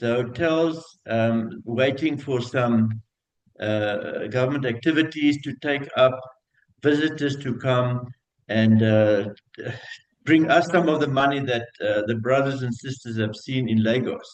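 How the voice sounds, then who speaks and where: In a room with audible echo, a man speaks at a medium pitch and a fairly slow pace. Long pauses come often. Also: ordinary pitch variation. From South Africa. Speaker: hotel general manager. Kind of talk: conference talk. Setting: video call. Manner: hesitant, many fillers.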